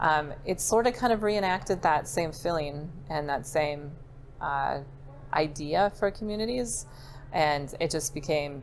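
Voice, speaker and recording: With light background noise, a woman with a very deep, low voice speaks at a fairly slow pace and with lively intonation. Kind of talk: interview answer. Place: bar. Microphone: lapel.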